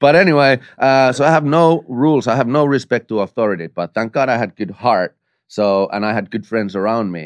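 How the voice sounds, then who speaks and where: Against a quiet background, a man with a Finnish accent speaks at a medium pitch with lively intonation, the sound dry and close with no echo. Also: fairly quick pace. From Finland, small west coast town. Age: 30s. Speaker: stunt performer. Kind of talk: casual chat. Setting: studio. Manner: animated.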